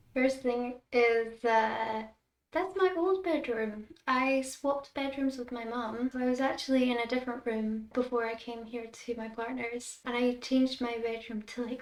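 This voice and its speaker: The speaker has a Scottish accent. Delivery is at a fairly slow pace, with fairly even intonation. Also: woman. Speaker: content creator. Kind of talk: casual chat.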